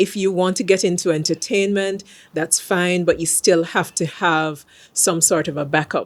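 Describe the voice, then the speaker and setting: On a very clean recording with a silent background, a woman with a Jamaican accent talks at a moderate pace with fairly low pitch. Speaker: singer, actor and radio host. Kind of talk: casual chat. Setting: outdoors in a park gazebo.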